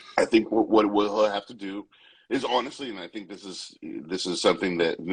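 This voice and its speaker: A man is talking. His pace is fairly quick. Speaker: sports podcast host. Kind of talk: casual sports discussion.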